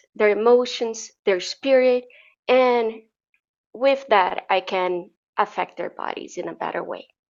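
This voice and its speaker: This is a woman speaking with a Portuguese accent. Her pitch varies in an ordinary way. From Brazil. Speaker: wellness coach. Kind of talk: interview.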